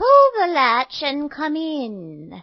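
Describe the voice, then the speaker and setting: A female-sounding voice puts on a character voice pitched high. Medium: read story.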